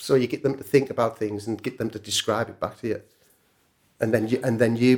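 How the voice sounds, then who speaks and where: Man with a northern English accent, medium pitch, fairly quick pace. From northern England. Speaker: music producer and songwriter. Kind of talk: casual interview chat. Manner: casual, chatty.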